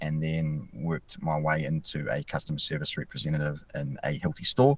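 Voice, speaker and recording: In a New Zealand accent, a man talks at a fairly quick pace. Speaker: mental health field officer. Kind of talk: podcast interview. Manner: fast.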